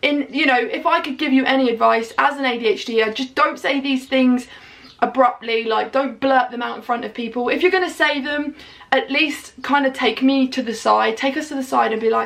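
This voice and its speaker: Loud and animated, a woman speaks at a fairly quick pace with a high pitch amid noticeable background noise. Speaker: vlogger. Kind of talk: casual chat.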